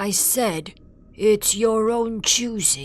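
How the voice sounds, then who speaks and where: A put-on character voice that sounds female is pitched fairly high. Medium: read story. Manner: sullen, repetitive.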